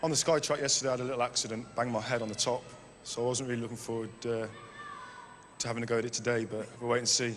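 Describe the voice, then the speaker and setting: A man with a West Midlands accent at a very fast pace, medium in pitch with monotone, flat intonation, amid noticeable background noise and audible room echo. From West Midlands, Kidderminster. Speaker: game show contestant, army fitness instructor. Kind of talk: game show interview. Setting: indoor arena with audience.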